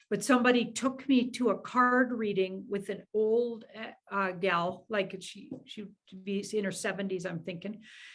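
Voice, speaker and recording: A woman with a medium pitch and a somewhat breathy voice talks at a fairly slow pace with hardly any pauses, fairly even intonation and big swings in loudness. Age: 60s. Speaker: tarot reader. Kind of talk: casual interview.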